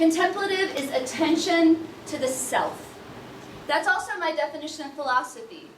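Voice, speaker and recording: Loud and enthusiastic, the speaker uses lively intonation amid noticeable background noise and audible room echo. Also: woman. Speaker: event founder and speaker. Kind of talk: conference talk. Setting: room with live audience, no microphone. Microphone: no microphone, speaking unamplified.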